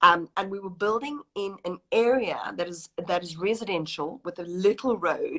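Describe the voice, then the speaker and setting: A South African accent with ordinary pitch variation and a dry, close sound with no echo. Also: woman. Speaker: wedding planner. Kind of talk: interview.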